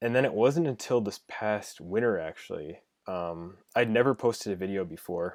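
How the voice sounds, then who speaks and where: An ordinary speaking voice from a man with a fairly low pitch and lively intonation, at a moderate pace, on a very clean recording with a silent background. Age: 20s. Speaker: freelance logo designer. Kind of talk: casual interview.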